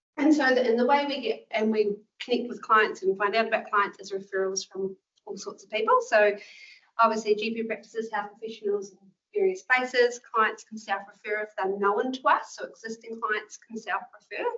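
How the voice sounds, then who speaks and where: A woman with a New Zealand accent talks at a fairly quick pace and fairly high pitch. Her pitch varies in an ordinary way while her loudness swings widely. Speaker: clinical nurse manager. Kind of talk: presentation to health professionals. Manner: fast; casual, filler-heavy.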